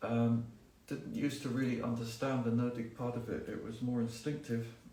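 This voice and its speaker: Over noticeable background noise and audible room echo, a man talks at a medium pitch with monotone, flat intonation. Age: 60s. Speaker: gardening expert. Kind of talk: live Q&A talk. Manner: conversational, many fillers.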